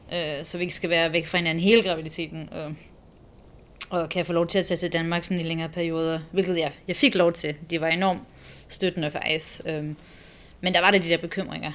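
A woman speaks at a fairly quick pace with a fairly low pitch. Her intonation stays flat and monotone. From abroad, born in Copenhagen. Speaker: expectant mother. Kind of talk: interview.

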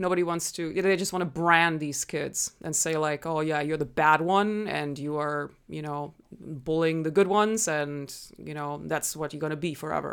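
On a very clean recording with a silent background, a woman with a slight German accent speaks at a moderate pace in a very deep, low pitch with fairly even intonation. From Germany. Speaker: nonprofit founder and martial artist. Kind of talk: interview conversation.

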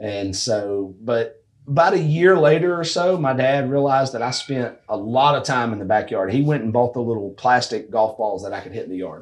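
A man with a plain, everyday voice and medium pitch talks at a moderate pace with hardly any pauses. His intonation is lively. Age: 30s. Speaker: amateur golf tour director. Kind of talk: casual chat. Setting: golf simulator room.

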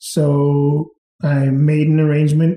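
Somewhat breathy, the man speaks with a fairly high pitch. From England, then Sidney, British Columbia. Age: 40s. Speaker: restaurant owner. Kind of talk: casual interview, storytelling.

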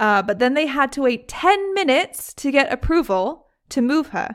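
A woman with a British accent is heard on a very clean recording with a silent background. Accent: British, described by her as weird. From Britain. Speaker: podcast host. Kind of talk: casual storytelling, true crime podcast. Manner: casual, chatty.

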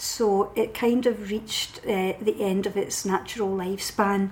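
A woman speaks in a west of Scotland accent at a medium pitch, with fairly even intonation. Noticeable background noise is present. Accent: Scottish (west of Scotland). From Scotland, Paisley. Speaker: novelist and poet. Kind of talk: casual interview.

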